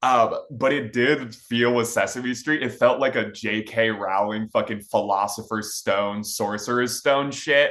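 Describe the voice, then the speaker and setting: A man speaks with an American accent in a bright, sharp tone. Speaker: podcast co-host. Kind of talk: casual chat.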